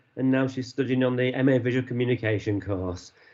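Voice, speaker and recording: Fairly quick and fairly even in intonation, a man talks at medium pitch. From Yorkshire, northern England. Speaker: university associate dean. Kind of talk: online presentation. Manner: hesitant, many fillers.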